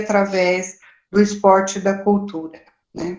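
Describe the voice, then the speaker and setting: A woman speaks at a medium pitch. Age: 60s. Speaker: focus group participant. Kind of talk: online meeting discussion. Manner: hesitant, many fillers.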